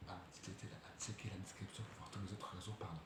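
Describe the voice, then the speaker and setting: A soft-spoken man at a fairly low pitch, fairly even intonation, noticeable background noise and audible room echo. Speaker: football YouTuber. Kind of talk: match debrief vlog. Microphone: quiet, need to turn up volume.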